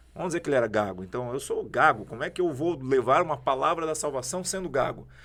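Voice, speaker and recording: Speaking very fast, a man uses a fairly high pitch with vocal fry. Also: lively intonation. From southern Brazil, Santa Catarina (Jaraguá do Sul). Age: 40s. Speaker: prophet, preacher. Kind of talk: podcast interview, testimony.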